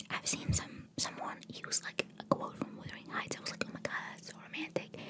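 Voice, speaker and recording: Whispering at a fairly quick pace with big swings in loudness, a woman speaks over noticeable background noise. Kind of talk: ASMR book haul, casual talk to camera. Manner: whispered, rambling.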